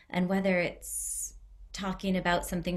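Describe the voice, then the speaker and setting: A woman with an American accent, vocal fry, and a moderate pace. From US Northeast (Connecticut). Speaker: arts centre director. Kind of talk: online presentation. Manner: relaxed.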